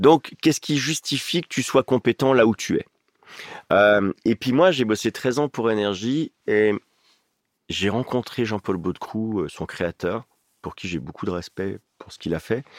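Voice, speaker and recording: With long, frequent pauses, a man of medium pitch speaks fairly slowly with lively intonation and big swings in loudness, in a dry, close sound with no echo. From eastern France, Ain (Oyonnax). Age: 50s. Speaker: radio host and stadium announcer. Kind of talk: casual chat.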